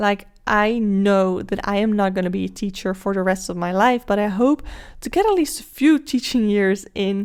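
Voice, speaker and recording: In a Dutch accent, a woman speaks at a moderate pace with ordinary pitch variation. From Netherlands. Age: 20s. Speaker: podcast host. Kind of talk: solo podcast monologue. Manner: casual, with filler words.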